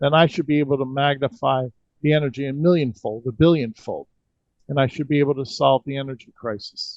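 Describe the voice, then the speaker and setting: A man's normal speaking voice, fairly high in pitch, at a fairly quick pace with fairly even intonation and a dry, close sound with no echo. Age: 60s. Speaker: energy healing practitioner. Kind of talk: interview.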